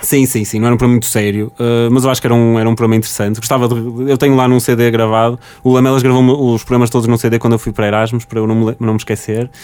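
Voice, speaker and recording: A man speaks at a very fast pace with hardly any pauses, in a medium pitch. His tone is dark and mellow, and his intonation monotone and flat. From Portugal, Porto. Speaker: recently graduated software engineer, former student radio host. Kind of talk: casual interview.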